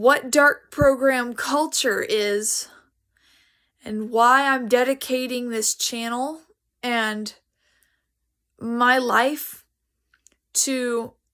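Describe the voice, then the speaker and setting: Pausing long and often, a woman with a high pitch speaks at a very slow pace. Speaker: activist and aspiring music producer. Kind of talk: monologue to camera. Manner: halting.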